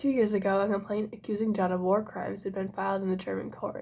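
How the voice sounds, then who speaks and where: A soft-spoken woman whispering at a very fast pace, with vocal fry. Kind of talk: ASMR book reading. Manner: soft-spoken, whispering.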